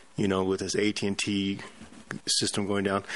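A man with a fairly low voice talks at a moderate pace amid noticeable background noise. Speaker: pharmacist guest. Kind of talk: talk radio discussion.

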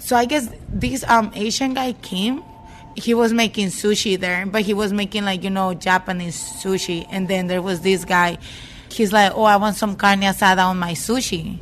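A woman speaks at a moderate pace with a medium pitch and ordinary pitch variation over noticeable background noise.

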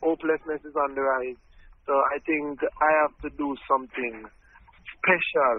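Speaking at a moderate pace, a man with a fairly high voice keeps a monotone, flat intonation broken by long, frequent pauses. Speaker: reggae artist. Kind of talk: interview.

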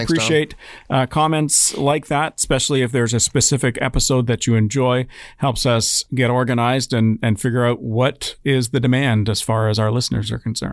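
In a very clean recording with a silent background, the speaker uses a playful tone at a fairly quick pace, with fairly even intonation and very even loudness. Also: man, medium pitch for a man. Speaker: radio music director and morning host, podcast co-host. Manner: playful, jokey.

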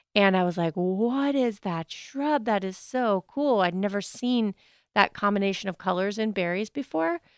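A woman with a Pennsylvania accent is recorded with a dry, close sound and no echo. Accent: Pennsylvania American. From eastern Pennsylvania. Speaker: radio gardening co-host. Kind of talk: casual radio call-in chat. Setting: radio studio. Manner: animated.

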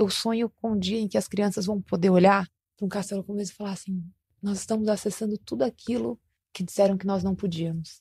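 A woman talks at a very fast pace with a dark, mellow, somewhat breathy tone, recorded dry and close with no echo. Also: medium pitch for a woman, fairly even intonation. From Brazil, São Paulo city. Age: 30s. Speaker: musician and social entrepreneur. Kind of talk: interview conversation.

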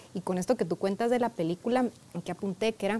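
The woman's voice has a dark, mellow tone. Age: 40s. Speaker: therapist. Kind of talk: interview.

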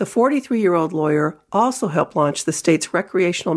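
A woman speaks at a fairly low pitch in an unremarkable speaking voice. The recording is very clean, with a silent background. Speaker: newspaper columnist and podcast host. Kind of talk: scripted intro and interview narration. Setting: studio.

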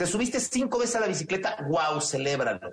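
A man speaks with a Mexican accent. His tone is energetic and his intonation lively. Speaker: business consultant and personal growth coach. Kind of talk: radio interview.

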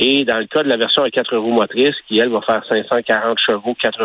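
A man in a Quebec accent talks at a moderate pace and medium pitch. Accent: Québécois French. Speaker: car columnist. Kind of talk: radio column interview. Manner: hesitant, many fillers.

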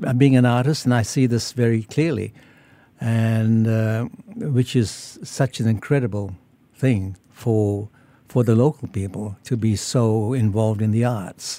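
A man with a medium pitch and a dark, mellow tone speaks at a fairly slow pace with fairly even intonation on a very clean recording with a silent background. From Malaysia and Singapore. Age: 80s+. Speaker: artist. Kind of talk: radio interview. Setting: radio studio. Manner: halting, frequent repetitions.

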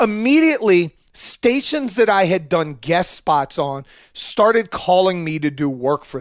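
Lively intonation runs through this man's high-pitched voice. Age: 40s. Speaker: radio host. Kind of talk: casual chat.

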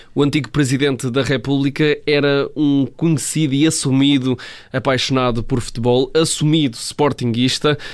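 In a monotone, flat intonation, a man with a fairly high pitch speaks at a moderate pace with very even loudness. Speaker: sports journalist. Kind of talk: radio sports segment.

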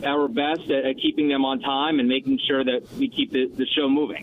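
A man with a New York accent at a moderate pace, ordinary pitch variation and noticeable background noise. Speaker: TV news anchor and debate moderator. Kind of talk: radio interview. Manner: loud.

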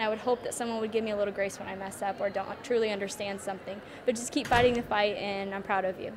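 Over noticeable background noise, a woman speaks very fast in a fairly high pitch with monotone, flat intonation. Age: 20s. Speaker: social media influencer. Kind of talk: interview answers. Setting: conference venue.

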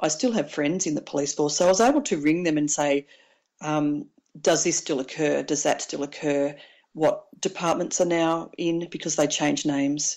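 In an Australian accent, a woman talks at a very deep, low pitch with fairly even intonation. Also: moderate pace. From Victoria, Australia (Mansfield, country town). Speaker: author, former police officer and paramedic. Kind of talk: interview. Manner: hesitant, many fillers.

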